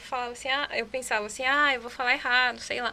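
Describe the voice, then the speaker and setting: Using a raised, projected voice with a bright, sharp tone, a woman speaks at a high pitch and a fairly quick pace with fairly even intonation. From Chile. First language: Spanish (speaking Portuguese). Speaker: podcast guest. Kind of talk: casual chat.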